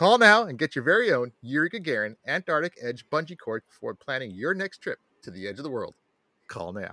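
A man talks fairly quickly with a fairly high pitch, very wide pitch swings and vocal fry. His tone is bright and sharp, and the sound is dry and close with no echo. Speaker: podcast co-host. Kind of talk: parody commercial voice, mock-salesman ad read for a fake product; casual comedic science chat. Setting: recorded podcast.

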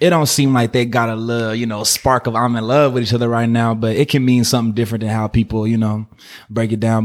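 This man talks at a very fast pace in a medium pitch with an American accent. His intonation is monotone and flat. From Oakland/Berkeley, California. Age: 20s. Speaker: musician. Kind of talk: casual chat.

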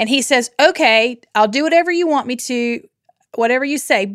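A woman speaks here at a moderate pace. Her pitch is fairly high. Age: 40s. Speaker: Bible study podcast guest. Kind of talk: casual chat.

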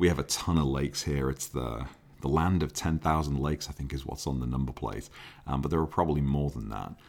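At a very fast pace, a man talks with a very deep, low pitch and fairly even intonation. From Liverpool, England. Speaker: car enthusiast YouTuber and podcaster. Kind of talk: casual solo podcast monologue. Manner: casual, filler-heavy.

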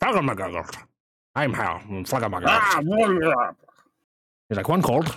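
Using a put-on character voice, a man speaks at a fairly high pitch with very wide pitch swings, at a fairly slow pace with long, frequent pauses. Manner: gruff, grabby.

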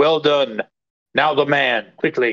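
Put-on character voice from a man, pitched fairly high. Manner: commanding, hissing.

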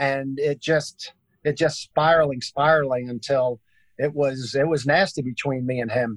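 With a New York accent, a man speaks at a medium pitch and moderate pace in a monotone, flat intonation, the sound dry and close with no echo. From Brooklyn, New York. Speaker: basketball entertainer. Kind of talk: interview storytelling.

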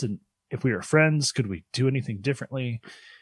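Heard as a dry, close sound with no echo, a man at medium pitch uses a normal speaking voice with ordinary pitch variation. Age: 30s. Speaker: podcast co-host. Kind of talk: casual chat.

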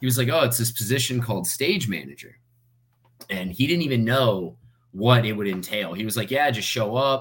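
An ordinary speaking voice from a man with an American accent, medium pitch, ordinary pitch variation and a fairly quick pace. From US South, Fort Myers, Florida. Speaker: stage manager for sports broadcasts. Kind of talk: interview. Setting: podcast recording.

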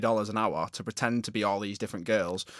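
On a very clean recording with a silent background and a dry, close sound free of echo, a man speaks with a Northern English accent. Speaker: podcast co-host. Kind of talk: casual chat. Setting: studio.

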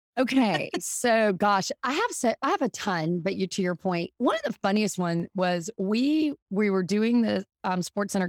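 Lively intonation in a Southern US accent at a fairly slow pace, with a dry, close sound with no echo and a very clean recording over a silent background. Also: woman. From US South. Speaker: marketing executive, former music industry worker. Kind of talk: casual chat.

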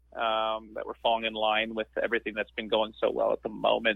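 A man in a rural Canadian accent at a very fast pace. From rural Ontario, Canada. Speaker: stand-up comedian. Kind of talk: casual interview.

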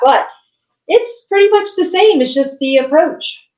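Here is a normal speaking voice in an American accent. It moves at a moderate pace with ordinary pitch variation. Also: woman. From West Virginia. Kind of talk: casual interview chat. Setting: video call.

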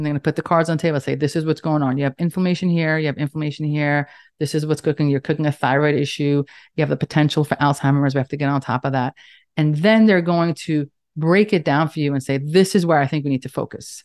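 A woman's very deep, low voice in a New York accent, animated and very fast, dry and close with no echo against a quiet background. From Staten Island, New York. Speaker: nurse practitioner and author. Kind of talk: casual interview conversation. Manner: animated, fast talker.

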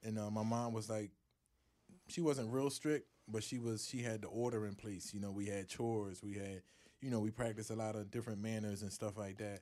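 His pace is fairly quick, and his intonation is fairly even. The man's fairly low voice carries a dark, mellow tone. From US, North Philadelphia. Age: 30s. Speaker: professional boxer. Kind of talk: casual interview.

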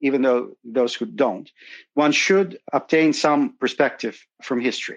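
A man's fairly high voice, lively in intonation, at a moderate pace. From Soviet Union. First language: Russian. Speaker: asset manager. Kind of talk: interview.

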